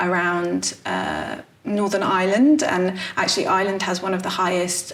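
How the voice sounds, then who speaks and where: With an English accent, a woman speaks in fairly even intonation, heard with audible room echo and noticeable background noise. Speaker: playwright. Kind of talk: interview. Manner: hesitant, frequent fillers.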